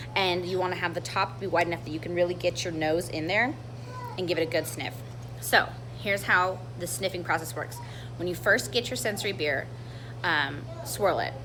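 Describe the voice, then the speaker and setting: A woman with a very deep, low pitch and lively intonation talks at a fairly quick pace, broken by long, frequent pauses. Audible room echo and noticeable background noise surround her. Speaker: brewery sensory panel leader. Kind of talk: tutorial. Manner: fast.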